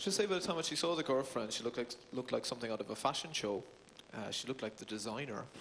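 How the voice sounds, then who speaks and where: Through noticeable background noise, a man at a medium pitch talks at a very fast pace with lively intonation. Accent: Cork. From Ireland, Cork City. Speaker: stand-up comedian. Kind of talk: stand-up.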